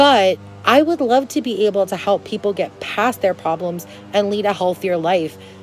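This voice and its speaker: A woman's medium-pitched voice over music in the background. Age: 20s. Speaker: lifestyle vlogger. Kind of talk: casual advice monologue. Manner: loud.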